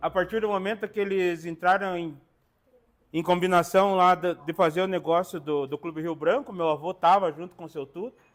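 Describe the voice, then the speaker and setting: A man's high-pitched voice at a moderate pace. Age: 40s. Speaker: samba percussionist. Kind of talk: interview testimony.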